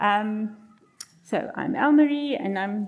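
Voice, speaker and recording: Her pace is very slow, and this woman's fairly high voice rises and falls in an ordinary way. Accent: South African. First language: Afrikaans. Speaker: marriage counselor. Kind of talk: seminar talk.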